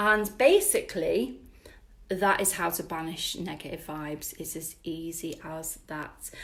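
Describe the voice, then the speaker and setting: With a British accent, the speaker goes at a fairly slow pace. The loudness swings widely. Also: woman. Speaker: spiritual wellness teacher. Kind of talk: live-stream workshop. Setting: live stream with viewer comments.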